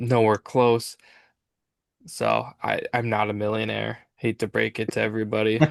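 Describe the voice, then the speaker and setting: Against a quiet background, a man's voice comes through dry and close with no echo. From Minnesota. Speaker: podcast host. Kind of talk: casual chat.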